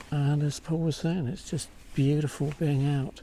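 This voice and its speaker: A man speaks at a fairly slow pace in a somewhat breathy voice with a dark, mellow tone. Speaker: wildlife photography vlogger. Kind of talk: outdoor vlog narration. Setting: outdoors in a forest. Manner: whispering quietly.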